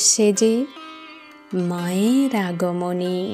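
A woman speaks with fairly even intonation as music plays in the background. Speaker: poet reciting own poem. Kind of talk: poetry reading.

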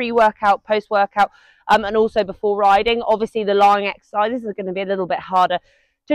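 Against a quiet background, a woman rattles along at a very fast pace. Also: dry sound with no echo. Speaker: fitness instructor. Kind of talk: tutorial. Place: garden. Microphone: lapel.

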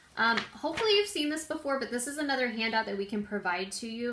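Ordinary pitch variation runs through this woman's speech. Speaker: prevention educator. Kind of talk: informational talk. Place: home room. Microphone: phone near.

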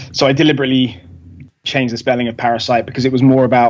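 The speaker is a man. He has an English accent. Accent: English accent, often mistaken for Australian. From England. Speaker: rock musician. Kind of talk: casual interview chat. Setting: video call. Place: home room. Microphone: video call.

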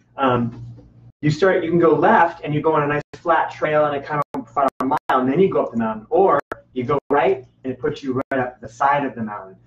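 A man speaks at a fairly quick pace with ordinary pitch variation. Audible room echo surrounds the voice. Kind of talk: casual chat. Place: home room.

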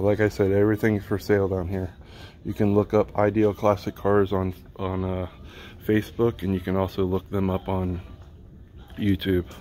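Fairly low in pitch, a man talks at a moderate pace in a monotone, flat delivery with long, frequent pauses. His tone is dark and mellow, over light background noise. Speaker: channel host touring a dealership. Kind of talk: casual vlog commentary. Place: shop. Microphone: phone near.

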